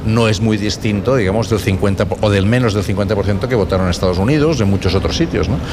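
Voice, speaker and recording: A man talks at a very fast pace in a fairly low pitch, with ordinary pitch variation. Noticeable background noise and audible room echo are present. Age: 60s. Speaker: political science professor. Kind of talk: radio interview. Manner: halting, with frequent repetitions.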